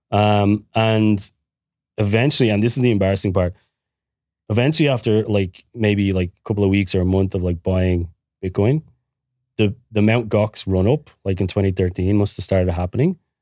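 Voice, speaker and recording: A man with an Irish accent speaks at a fairly low pitch and a moderate pace, his tone dark and mellow with ordinary pitch variation. The recording is very clean with a silent background, dry and close with no echo. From Ireland. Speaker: guest, bitcoin entrepreneur. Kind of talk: casual interview.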